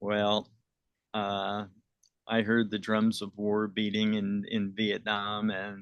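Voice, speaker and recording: Here a man speaks with an American accent. His pitch sits fairly low. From US Northeast, eastern Pennsylvania. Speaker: Vietnam war veteran. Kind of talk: oral history interview. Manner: hesitant, many fillers.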